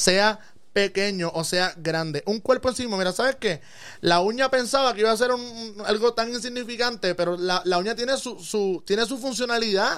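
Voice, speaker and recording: In a very clean recording with a silent background, a man with a Puerto Rican accent talks at a moderate pace, his pitch high with ordinary variation. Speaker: physician. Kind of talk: casual interview. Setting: studio.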